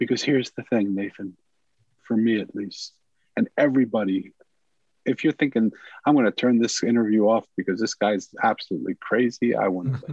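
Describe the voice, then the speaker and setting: A man's medium-pitched, normal speaking voice with ordinary pitch variation, dry and close with no echo. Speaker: author and former monk. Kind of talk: interview.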